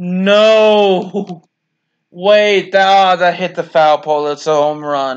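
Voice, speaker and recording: With ordinary pitch variation, a man talks in a high register. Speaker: gaming YouTuber. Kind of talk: casual gaming commentary. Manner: play-by-play, reactive and conversational; casual, with frequent fillers and exclamations.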